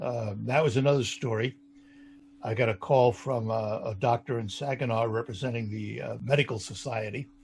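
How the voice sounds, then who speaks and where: A man speaks at a moderate pace and medium pitch with fairly even intonation. His voice is somewhat breathy. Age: 70s. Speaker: radio talk show host. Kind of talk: interview.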